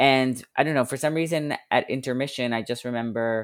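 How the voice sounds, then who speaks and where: A man with an American accent and a normal speaking voice, fairly even intonation, a moderate pace, and a very clean recording with a silent background. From US Northeast (Long Island, New York). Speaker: blogger and podcast interviewer. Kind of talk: interview conversation.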